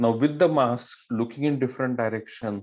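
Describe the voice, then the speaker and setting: Fairly quick, fairly even speech with an Indian accent. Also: man, quiet background. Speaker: swim meet referee. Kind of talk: officials briefing. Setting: online meeting.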